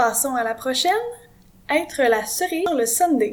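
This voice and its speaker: The pitch rises and falls in an ordinary way. The speaker has a Quebec accent. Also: woman. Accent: Québécois French. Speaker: French teacher. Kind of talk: educational lesson to camera.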